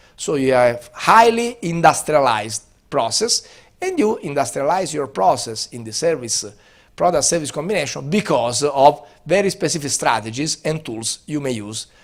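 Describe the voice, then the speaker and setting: A man with an Italian accent at a fairly high pitch, at a moderate pace, with very wide pitch swings and big swings in loudness. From Italy. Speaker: business school professor. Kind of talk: lecture. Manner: hesitant, many fillers.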